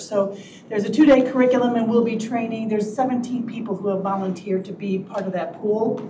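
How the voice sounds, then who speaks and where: A woman at medium pitch with fairly even intonation, audible room echo and noticeable background noise. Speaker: county HR director. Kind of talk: public meeting report.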